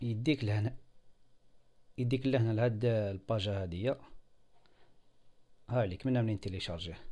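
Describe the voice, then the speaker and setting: A man in an Algerian accent with a dark, mellow tone, medium pitch, ordinary pitch variation, moderate pace and long, frequent pauses, on a very clean recording with a silent background. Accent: Algerian Arabic with French loanwords. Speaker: software tutorial video maker. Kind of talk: screen-recorded tutorial. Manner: halting, many fillers.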